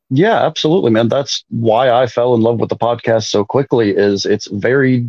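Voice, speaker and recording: Someone with an ordinary speaking voice talks at a moderate pace in an American accent. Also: man. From Minnesota, north of the Twin Cities. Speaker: sports fan. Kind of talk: casual chat.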